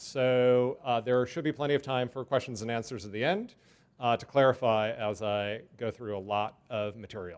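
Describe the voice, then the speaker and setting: Against a quiet background, a man with an American accent talks at a moderate pace and medium pitch. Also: ordinary pitch variation. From US West Coast, Los Angeles. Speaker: urban transportation planner. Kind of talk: lecture. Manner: loud.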